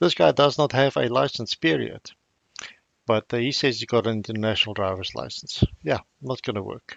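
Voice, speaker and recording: Speaking fairly quickly, a man uses lively intonation at a medium pitch, with vocal fry. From South Africa. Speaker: video commentator. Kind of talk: casual commentary.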